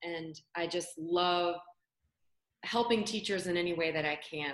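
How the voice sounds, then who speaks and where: Pitched fairly low, a woman talks in a plain, everyday voice with fairly even intonation. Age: 40s. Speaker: English teacher and educator coach. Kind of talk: casual interview chat.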